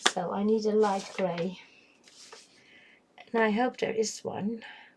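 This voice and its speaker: A woman with a Dutch accent, fairly high in pitch, fairly slow, with monotone, flat intonation. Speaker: coloring livestreamer. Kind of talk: casual livestream chat while coloring. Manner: hesitant, many fillers.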